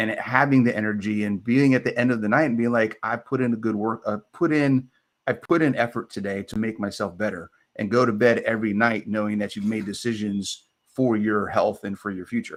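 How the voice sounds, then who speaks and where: At a fairly quick pace, a man talks in a plain, everyday voice with a medium pitch and fairly even intonation, in a very clean recording with a silent background. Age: 50s. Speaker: fitness coach. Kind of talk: live stream Q&A. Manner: casual, conversational.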